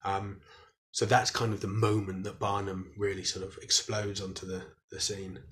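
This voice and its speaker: The man's pitch is fairly low and his intonation monotone and flat. He keeps a moderate pace, with big swings in loudness. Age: 30s. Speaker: historian and author. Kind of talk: interview.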